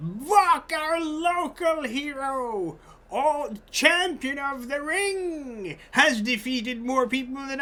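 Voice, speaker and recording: A high-pitched, put-on character voice. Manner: loud, excited, commanding attention.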